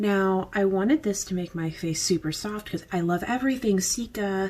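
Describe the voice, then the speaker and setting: Quiet and somewhat breathy, this voice moves at a moderate pace with ordinary pitch variation. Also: woman. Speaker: beauty vlogger. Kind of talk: casual product review vlog. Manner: casual, filler-heavy.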